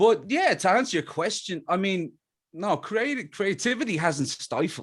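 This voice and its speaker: A man speaks with an Irish accent at a fairly slow pace. The recording is very clean, with a silent background. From Ireland, Dublin. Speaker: musician. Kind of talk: interview.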